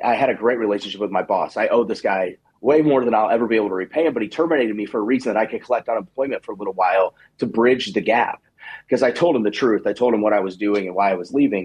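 A very fast-talking man's voice, medium in pitch, with ordinary pitch variation. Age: 30s. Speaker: digital marketing agency owner. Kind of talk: radio interview.

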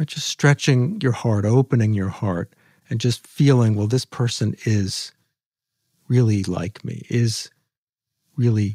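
A man's somewhat breathy voice, dark and mellow in tone, medium in pitch with ordinary pitch variation, fairly slow, and dry and close with no echo. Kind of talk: guided meditation. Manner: slow, soothing, calm and gently instructive; unhurried with long pauses, soft and inviting.

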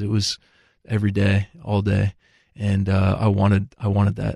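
Against a quiet background, a man's fairly low voice has a dark, mellow tone and a dry, close sound with no echo. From Texas. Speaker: assistant to a pro football coach. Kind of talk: interview, personal testimony.

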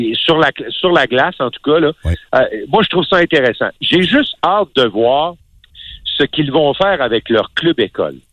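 Man's voice with vocal fry and lively intonation. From Quebec City, Quebec. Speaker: hockey analyst. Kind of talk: casual chat.

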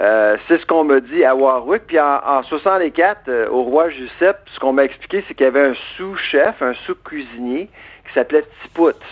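Speaking at a fairly slow pace with a Quebec accent, this voice shows ordinary pitch variation, hardly any pauses and big swings in loudness. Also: man, fairly high pitch for a man. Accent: Québécois. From Quebec, Eastern Townships (Bois-Francs). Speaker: food industry researcher and author. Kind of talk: radio interview. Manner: animated, laughs often.

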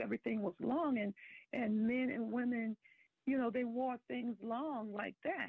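This woman's voice sits at a fairly high pitch. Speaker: caller. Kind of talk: radio call-in conversation. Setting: phone call.

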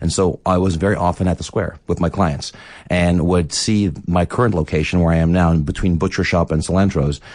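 Someone speaks at a fairly quick pace with a Philadelphia accent against a quiet background. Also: man. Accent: Philadelphia American English. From US Northeast, Philadelphia. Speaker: restaurant owner. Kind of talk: radio interview. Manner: halting, with frequent repetitions.

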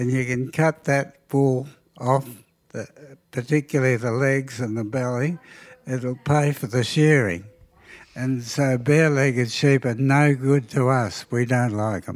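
Speaking with a rural Australian accent, the voice moves at a fairly slow pace with long, frequent pauses. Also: man. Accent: broad rural Australian. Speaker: sheep and cattle farmer. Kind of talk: casual interview. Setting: kitchen table at home.

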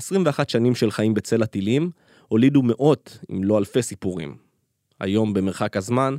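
A man's medium-pitched voice with a dark, mellow tone, at a moderate pace, on a very clean recording with a silent background. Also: dry, close sound with no echo. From Israel, Gaza border kibbutz. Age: 30s. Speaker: podcast host and reporter. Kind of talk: scripted narration.

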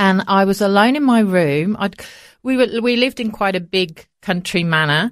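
A woman at a medium pitch with a British accent, moderate pace and ordinary pitch variation, in a very clean recording with a silent background. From England, Coventry (Midlands). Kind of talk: interview. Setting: studio.

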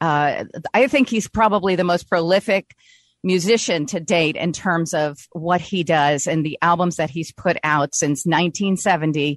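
A woman speaks at a fairly slow pace with a fairly low pitch and ordinary pitch variation, the sound dry and close with no echo against a quiet background. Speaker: radio host. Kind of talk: radio interview. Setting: studio. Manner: animated.

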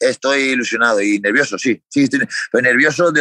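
In a Spanish accent, a man of medium pitch talks at a fairly quick pace with a bright, sharp tone and ordinary pitch variation, the sound dry and close with no echo. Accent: Peninsular Spanish. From Spain. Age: 30s. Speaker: MMA fighter. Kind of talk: interview.

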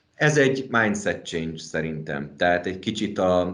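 A man speaks with a very deep, low pitch. Audible room echo surrounds his voice. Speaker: managing partner of a design and construction firm. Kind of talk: interview. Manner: halting, many fillers.

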